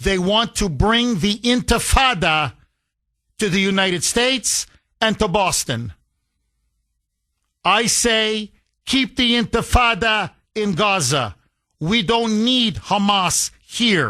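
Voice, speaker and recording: A man with a high pitch and a bright, sharp tone projects his raised voice at very even loudness. He goes at a very slow pace with long, frequent pauses against a quiet background. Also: ordinary pitch variation. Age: 50s. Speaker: talk radio host. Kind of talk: talk radio.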